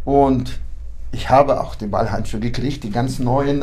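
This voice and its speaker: Vocal fry marks a man's medium-pitched voice, which keeps fairly even intonation amid audible room echo. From Kyrgyzstan (ethnic German, born in Kazakhstan). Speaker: boxing club official and coach. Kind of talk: interview.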